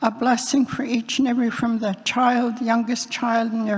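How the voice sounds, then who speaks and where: A woman speaks with a British Columbia accent. Her pace is moderate. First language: Hul'q'umi'num'. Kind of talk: blessing / prayer; personal speech. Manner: halting.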